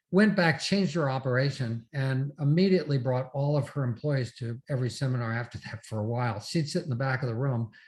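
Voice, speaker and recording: Very fast, somewhat breathy speech from a man at a medium pitch with lively intonation, on a very clean recording with a silent background. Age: 70s. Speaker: real estate investor and seminar speaker. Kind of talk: interview.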